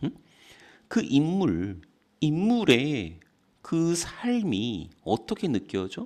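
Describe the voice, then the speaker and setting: On a very clean recording with a silent background, a man's voice shows vocal fry and very wide pitch swings. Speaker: English tutor. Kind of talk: lecture. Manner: slow; casual, conversational.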